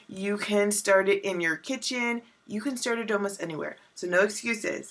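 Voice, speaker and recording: Noticeable background noise sits behind a woman at medium pitch who speaks at a moderate pace with ordinary pitch variation. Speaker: wellness coach. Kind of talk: vlog tutorial.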